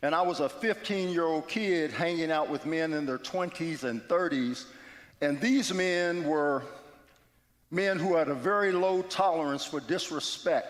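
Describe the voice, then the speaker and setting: A man speaks at a high pitch and a fairly slow pace, using ordinary pitch variation. Room echo can be heard. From West Virginia. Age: 60s. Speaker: guest speaker at church. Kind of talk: testimony. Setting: church.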